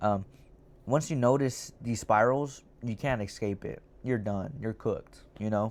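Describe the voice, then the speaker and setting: At a fairly slow pace, the speech sits in a very clean recording against a silent background. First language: not English. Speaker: YouTuber discussing manga. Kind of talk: casual monologue review. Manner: hesitant, many fillers.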